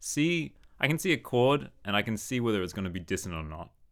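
A man with an Australian accent talks at a very fast pace. His intonation is lively, and the recording is very clean with a silent background. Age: 30s. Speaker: saxophonist and composer. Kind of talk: casual chat.

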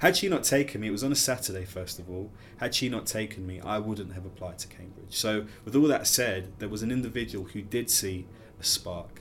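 A man talks at a fairly quick pace in a fairly low, somewhat breathy voice. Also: ordinary pitch variation. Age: 30s. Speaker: care leaver and event founder. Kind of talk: interview conversation.

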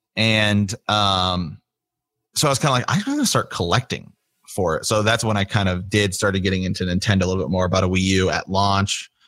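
Speaking with a Midwestern US accent, a man keeps a fairly low pitch and fairly even intonation at a fairly quick pace. The recording is very clean, with a silent background. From small-town Ohio. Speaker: podcaster. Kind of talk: casual interview chat.

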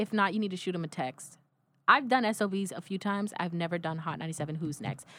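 Very fast and animated, a woman talks in a bright, sharp tone at a fairly low pitch with ordinary pitch variation. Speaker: singer.

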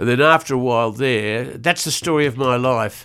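An Australian accent marks this man's medium-pitched speech. His pitch variation is ordinary. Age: 80s+. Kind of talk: casual chat. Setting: studio.

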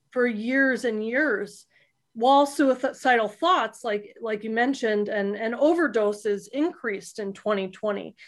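In a very clean recording with a silent background, a woman with an American accent speaks fairly slowly. She has a normal speaking voice, fairly high in pitch, with ordinary pitch variation. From South Florida. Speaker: psychologist and therapist. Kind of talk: interview answers.

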